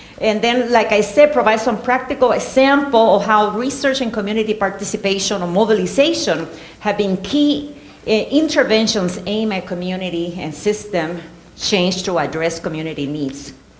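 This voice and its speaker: Against noticeable background noise and audible room echo, a woman speaks at a medium pitch and a moderate pace with lively intonation. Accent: Puerto Rican. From Puerto Rico. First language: Spanish. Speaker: professor. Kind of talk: lecture.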